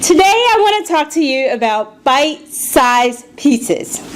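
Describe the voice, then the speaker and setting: A woman's pitch swings very widely, with noticeable background noise behind her. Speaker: public speaking club member. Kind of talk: prepared speech. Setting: club meeting with audience.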